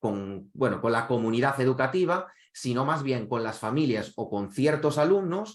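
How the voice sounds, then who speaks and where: Medium pitch from a male speaker. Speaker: e-learning director presenting a teacher webinar. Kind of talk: webinar presentation. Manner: fast.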